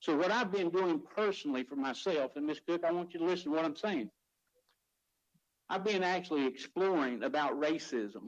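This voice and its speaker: A man speaks at a fairly quick pace in a high pitch. His intonation is lively. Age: 60s. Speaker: county commissioner. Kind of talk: public meeting statement. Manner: emotional, impassioned.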